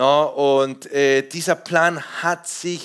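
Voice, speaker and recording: In an animated tone, a man talks with ordinary pitch variation. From Peru. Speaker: pastor. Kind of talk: sermon. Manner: halting.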